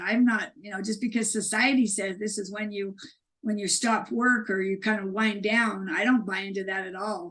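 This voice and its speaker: A woman's fairly high voice has a somewhat breathy quality. She keeps a moderate pace and fairly even intonation. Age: 60s. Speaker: author and speaker. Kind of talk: interview conversation. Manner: halting, many restarts.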